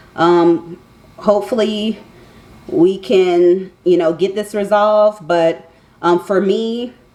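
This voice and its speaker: Noticeable background noise sits behind a woman speaking at medium pitch with ordinary pitch variation. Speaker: vlogger. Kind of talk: casual vlog monologue. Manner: loud.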